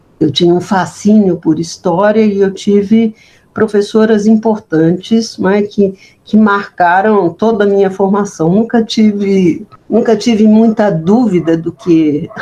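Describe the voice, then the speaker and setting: Her dark, mellow voice at medium pitch, a woman speaks at a fairly slow pace with very even loudness and fairly even intonation. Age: 70s. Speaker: history professor. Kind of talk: interview. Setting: at home. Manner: halting, many repetitions.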